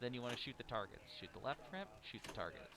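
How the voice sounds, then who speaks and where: Someone speaks at a very fast pace with lively intonation while noticeable background noise carries on. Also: man. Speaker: pinball commentator. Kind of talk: live commentary. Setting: tournament venue with a game playing in the room.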